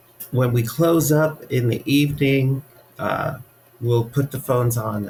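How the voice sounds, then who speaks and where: With an American accent, a man talks at medium pitch and a fairly slow pace. His intonation is fairly even, and there is noticeable background noise. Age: 60s. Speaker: funeral director. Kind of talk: interview. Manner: hesitant, many fillers.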